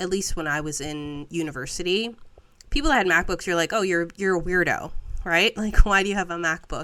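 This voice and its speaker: On a very clean recording with a silent background, a woman talks at a fairly quick pace in a fairly low pitch, her tone bright and sharp and her pitch variation ordinary. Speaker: podcast co-host. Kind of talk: casual chat.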